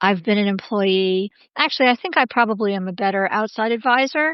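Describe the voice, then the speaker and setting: A woman's plain, everyday voice with an American accent, fairly high pitch, ordinary pitch variation and moderate pace. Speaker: scholar and business advisor. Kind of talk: interview conversation.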